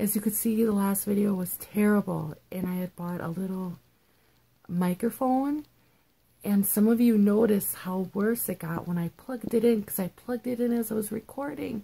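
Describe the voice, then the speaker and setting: Soft-spoken and whispering, the voice moves at a moderate pace. It sounds somewhat breathy. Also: woman. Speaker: vlogger. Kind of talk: casual vlog talk. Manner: quiet, near whisper. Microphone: poor audio, built-in mic.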